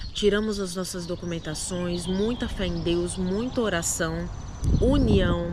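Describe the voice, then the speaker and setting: A woman speaks at a fairly slow pace with a Recife accent. Noticeable background noise and audible room echo are present. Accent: Recife accent, mocked in other states. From Brazil, Recife (Pernambuco). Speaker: immigrant vlogger. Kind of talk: casual chat.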